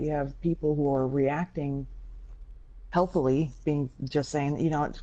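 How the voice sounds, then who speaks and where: A woman speaks with a very deep, low pitch. Her pace is fairly slow, with ordinary pitch variation. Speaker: gaming podcast host. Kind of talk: casual podcast discussion. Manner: animated.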